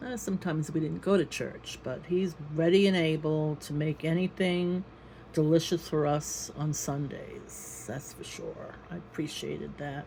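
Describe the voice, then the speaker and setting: A woman's very deep, low voice, dark and mellow in tone and somewhat breathy, at a fairly slow pace with ordinary pitch variation and big swings in loudness. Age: 70s. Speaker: YouTuber sharing family recollections. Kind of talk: casual reminiscing monologue.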